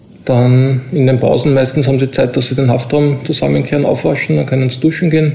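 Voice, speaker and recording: A man talks at a fairly quick pace and medium pitch with ordinary pitch variation. It is an unremarkable speaking voice. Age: 40s. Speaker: prison officer. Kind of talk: interview.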